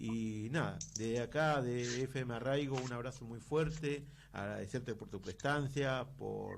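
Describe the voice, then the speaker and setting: In a room with audible echo, a man at medium pitch speaks very slowly with ordinary pitch variation. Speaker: radio host. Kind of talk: radio interview.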